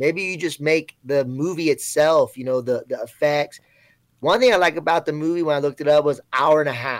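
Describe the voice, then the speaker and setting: A man with an American accent and a plain, everyday voice talks at a fairly quick pace in a fairly high pitch, with a dry, close sound and no echo. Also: ordinary pitch variation. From Florida. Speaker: chat guest and movie fan. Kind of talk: casual chat. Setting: live video chat.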